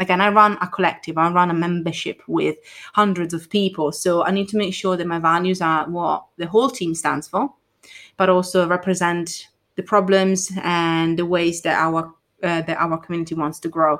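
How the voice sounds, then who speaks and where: A woman's fairly low voice with an Italian accent at a moderate pace, on a very clean recording with a silent background. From Italy. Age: 20s. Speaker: marketing consultant. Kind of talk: casual chat.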